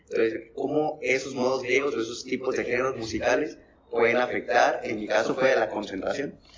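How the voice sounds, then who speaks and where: A man speaks at a fairly quick pace against noticeable background noise. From Piedras Negras, Coahuila, Mexico. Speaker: musician. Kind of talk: casual chat.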